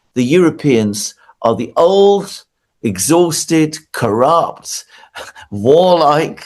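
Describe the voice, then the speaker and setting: In a British accent, the speaker talks at a very slow pace with very wide pitch swings. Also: man, fairly high pitch for a man. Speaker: political commentator. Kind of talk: interview.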